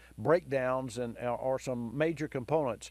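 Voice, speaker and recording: Speaking with an American accent, a man uses a fairly high pitch with ordinary variation at a moderate pace. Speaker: radio call-in show host, car expert. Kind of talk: call-in advice talk. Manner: upbeat, down-to-earth; halting, many fillers and repeats.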